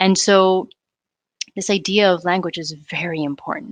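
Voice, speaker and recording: A woman talks at a medium pitch with ordinary pitch variation and a fairly slow pace. The sound is dry and close, with no echo. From Spanish-speaking country, moved to US at eight. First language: Spanish. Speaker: anthropologist and activist. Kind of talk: interview conversation. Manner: reflective, with frequent fillers.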